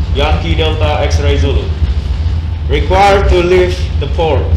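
Over noticeable background noise and audible room echo, a man with a very deep, low pitch talks at a moderate pace with fairly even intonation. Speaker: maritime cadet on radio. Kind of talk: radio procedure drill.

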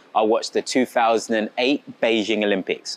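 A man at a fairly slow pace, the sound dry with no echo. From England. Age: 20s. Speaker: athlete. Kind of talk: school talk to children. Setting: assembly with audience. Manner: animated.

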